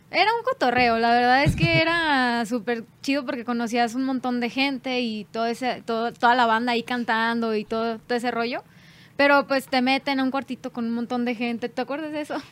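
A woman with a high pitch speaks at a fairly quick pace with fairly even intonation in a very clean recording with a silent background. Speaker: band singer. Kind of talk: casual chat.

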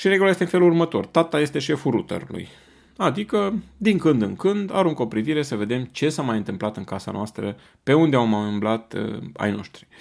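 Recorded very cleanly against a silent background, a man with a fairly high pitch talks at a fairly quick pace with very wide pitch swings. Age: 40s. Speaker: parenting podcast host. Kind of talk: monologue talk.

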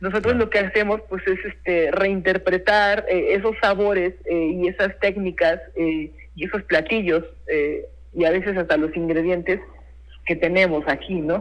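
This man's voice is high in pitch. He speaks at a fairly slow pace with fairly even intonation. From Mexico, Puebla (San Martín Texmelucan). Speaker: chef. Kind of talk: interview. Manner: halting, many repetitions and fillers.

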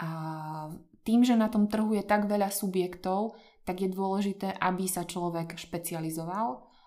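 A woman with a dark, mellow tone speaks at a fairly slow pace with fairly even intonation. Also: medium pitch for a woman. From central Slovakia, Podpoľanie region. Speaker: translator. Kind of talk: casual interview.

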